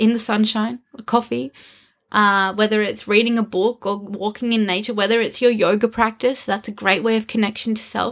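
A woman with an Australian accent speaks at a fairly high pitch and a moderate pace with fairly even intonation, in a very clean recording with a silent background. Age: 30s. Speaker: podcast co-host, wellness business owner. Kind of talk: casual chat.

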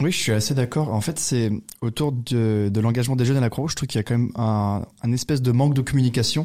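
Very fast speech from a man with a dark, mellow tone, medium pitch and ordinary pitch variation. The recording is very clean, with a silent background. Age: 20s. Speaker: student volunteer. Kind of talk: casual chat. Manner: hesitant.

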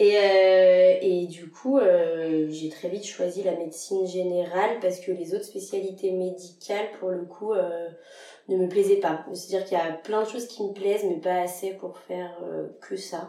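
A woman speaks at medium pitch in a monotone, flat intonation, with noticeable background noise and audible room echo. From France, Lyon. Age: 20s. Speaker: general practice resident. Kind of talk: casual interview.

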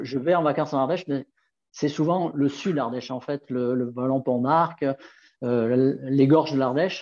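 Speaking in an ordinary speaking voice, a man keeps a moderate pace. His fairly high pitch stays in fairly even intonation. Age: 60s. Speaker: nordic walking guide. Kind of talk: casual interview.

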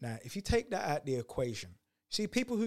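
Somewhat breathy delivery with very wide pitch swings on a very clean recording with a silent background. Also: man. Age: 40s. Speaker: entrepreneur and speaker. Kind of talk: podcast interview.

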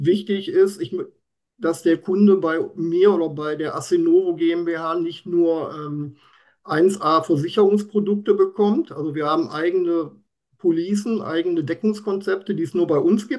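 The man's pitch is high. He speaks at a fairly slow pace. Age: 50s. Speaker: insurance expert. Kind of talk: interview. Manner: animated.

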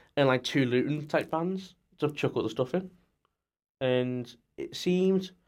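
This man speaks with a Scouse accent. His pitch is fairly high, with ordinary variation. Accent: Scouse-leaning northern English. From Merseyside, near Liverpool. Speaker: student racing team business lead. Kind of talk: casual chat. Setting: studio.

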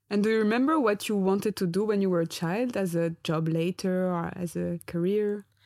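A woman talks in an ordinary speaking voice at medium pitch, with ordinary pitch variation and a fairly quick pace with hardly any pauses. Her loudness is very even, in a very clean recording with a silent background. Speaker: podcast host. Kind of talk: casual interview.

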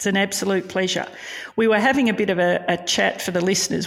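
A woman talks with an Australian accent at medium pitch. Her voice has vocal fry. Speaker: true crime podcast host.

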